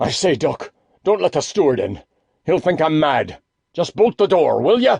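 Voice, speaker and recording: A raspy, put-on character voice moves at a moderate pace with lively intonation. The sound is dry and close with no echo. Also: man, high pitch for a man. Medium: read story.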